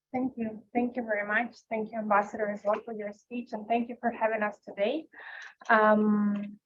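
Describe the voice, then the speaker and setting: A woman's fairly high, somewhat breathy voice in a monotone, flat intonation. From Ukraine. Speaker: panelist on foreign policy. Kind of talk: panel discussion.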